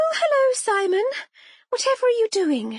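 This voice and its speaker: A woman speaks in a put-on character voice at an extremely high pitch. Her delivery is breathy and moderately paced. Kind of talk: formal, old-fashioned. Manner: airy, light, feigning nonchalance.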